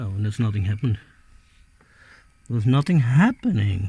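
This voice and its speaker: Animated and somewhat breathy, a man with a non-native accent speaks at a moderate pace with very wide pitch swings. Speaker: hobbyist video maker. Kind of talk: casual hands-on tutorial. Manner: halting, hesitant; animated exclamations.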